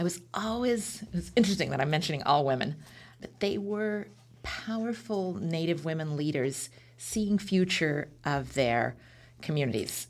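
Lively intonation marks this voice with a West Coast accent. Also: woman, fairly low pitch for a woman, moderate pace. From Oregon, Beaverton area near Portland. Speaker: foundation executive director. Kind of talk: interview.

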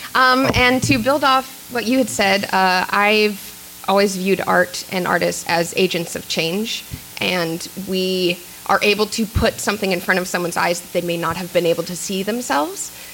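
A woman with an American accent speaks at a medium pitch, with noticeable noise in the background. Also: ordinary pitch variation, moderate pace. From Kansas City, Missouri. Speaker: filmmaker and actor. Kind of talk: panel discussion. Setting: stage with audience.

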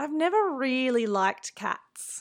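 In an Australian accent, a woman talks on a very clean recording where the background is silent. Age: 30s. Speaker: activist and writer. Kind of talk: reading aloud.

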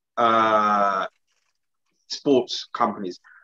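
A man with a London accent comes through in a dry, close sound with no echo. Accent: British, London urban. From England. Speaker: podcast co-host. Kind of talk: casual banter chat. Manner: animated, talkative.

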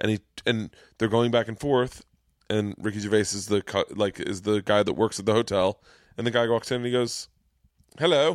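Recorded very cleanly against a silent background, with a dry, close sound with no echo, a man with an American accent talks fairly quickly at a fairly low pitch. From Florida. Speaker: comedian and podcast host. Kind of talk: casual chat. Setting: studio. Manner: animated.

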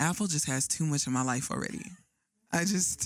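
Lively intonation runs through the speech. The woman talks in an American accent. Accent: fake New York accent at times. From Arizona, US. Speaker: podcast host. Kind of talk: casual chat. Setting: studio. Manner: animated.

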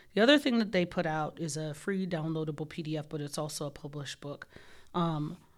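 Speaking at a fairly quick pace, a woman with a very deep, low pitch shows ordinary pitch variation in a very clean recording with a silent background. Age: 40s. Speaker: nursing professor. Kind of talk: interview conversation. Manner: animated.

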